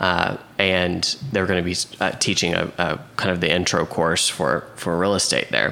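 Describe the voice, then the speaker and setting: Spoken at a moderate pace in an American accent, the voice holds a very even loudness over noticeable background noise. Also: man, very deep, low pitch for a man, ordinary pitch variation. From Oklahoma City, US. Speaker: real estate agent and coach. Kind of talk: casual interview chat. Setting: host's kitchen, in person.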